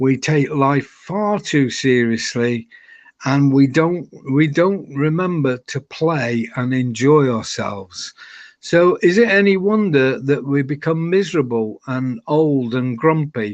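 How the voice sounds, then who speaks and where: Against a quiet background, a man speaks at a very slow pace with a fairly high pitch and lively intonation. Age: 70s. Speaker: retired hotel general manager. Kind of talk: interview. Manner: halting, repeats words.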